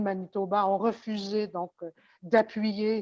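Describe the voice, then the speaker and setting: Speaking very slowly, a woman keeps her voice at a medium pitch. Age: 70s. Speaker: former politician. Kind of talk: panel discussion. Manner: halting.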